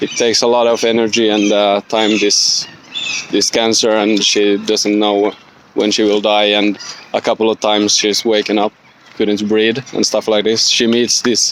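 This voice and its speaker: Noticeable background noise sits behind a man speaking in a fairly low voice with a non-native accent. His intonation is monotone and flat, and his loudness stays very even. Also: moderate pace. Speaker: student. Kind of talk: spoken book report. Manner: halting, many fillers.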